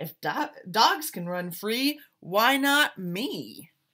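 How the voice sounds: Putting on a character voice, a woman speaks slowly at a fairly high pitch, her tone bright and sharp and her pitch swinging widely.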